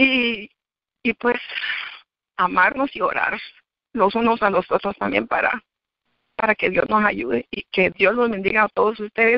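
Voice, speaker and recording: A woman's fairly high, fry-tinged voice at a fairly slow pace, with fairly even intonation and long, frequent pauses. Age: 60s. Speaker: church member giving testimony. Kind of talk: testimony.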